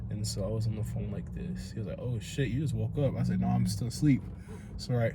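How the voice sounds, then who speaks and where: A man speaks at a very fast pace with very wide pitch swings, amid audible room echo and noticeable background noise. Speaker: podcast host. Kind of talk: casual chat. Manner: pitch jumps high when excited; lackadaisical.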